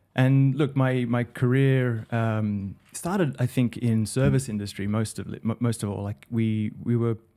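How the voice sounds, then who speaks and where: A man speaks at a medium pitch with ordinary pitch variation and a moderate pace. His tone is dark and mellow, on a very clean recording with a silent background. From Australia, Sydney. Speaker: digital director. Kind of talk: podcast interview. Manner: hesitant, many fillers.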